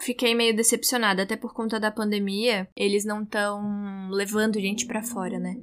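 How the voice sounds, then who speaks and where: With noticeable background noise behind her, a woman talks at a moderate pace and with hardly any pauses, her fairly high voice monotone and flat. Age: 20s. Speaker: journalism student, podcaster. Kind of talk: solo monologue, personal diary.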